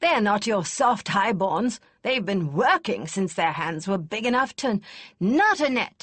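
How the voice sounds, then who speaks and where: A put-on character voice, female-sounding, at a fairly slow pace. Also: medium pitch for a woman. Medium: read story. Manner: blunt, brusque.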